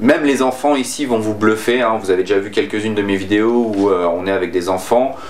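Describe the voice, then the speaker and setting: Fairly quick speech from a man, with ordinary pitch variation and noticeable background noise. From France. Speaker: YouTuber. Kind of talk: casual vlog talk to camera. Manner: hesitant, many fillers.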